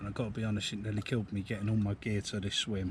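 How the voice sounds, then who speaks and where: A somewhat breathy, fairly low male voice with an English accent. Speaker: fishing vlogger. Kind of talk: casual vlog commentary. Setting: outdoors. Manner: soft-spoken.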